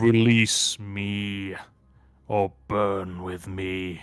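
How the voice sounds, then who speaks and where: Putting on a character voice, a man rumbles at a fairly low pitch. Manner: commanding, menacing.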